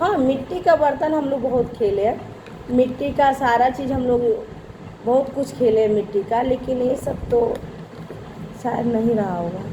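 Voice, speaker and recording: A woman with a high pitch speaks with long, frequent pauses against noticeable background noise. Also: ordinary pitch variation. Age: 40s. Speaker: family vlogger, mother of three. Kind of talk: casual vlog chat to viewers. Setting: at home, dining table.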